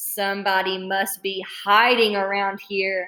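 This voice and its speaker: Putting on a character voice, a woman speaks at a medium pitch and a fairly slow pace in a monotone, flat delivery. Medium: read story.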